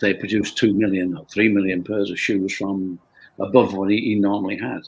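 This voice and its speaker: In a Lancashire accent, a man speaks with a fairly low pitch. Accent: Northern English (Lancashire). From Bolton, England. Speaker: company founder. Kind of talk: interview answer.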